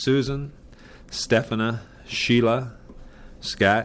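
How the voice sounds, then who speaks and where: With an Upper Midwest accent, a man talks at a very slow pace. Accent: Upper Midwest American. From South Dakota, Brookings County. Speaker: electric cooperative manager. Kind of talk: oral history interview. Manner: halting, many filler words.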